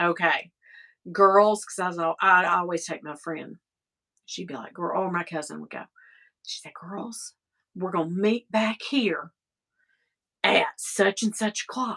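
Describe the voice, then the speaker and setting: Woman in a Southern US accent, medium pitch with ordinary pitch variation, bright, sharp and animated tone, big swings in loudness, fairly slow pace with long, frequent pauses, dry, close sound with no echo. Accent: Southern country. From US South (East Tennessee). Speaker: vlogger. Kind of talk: casual chat.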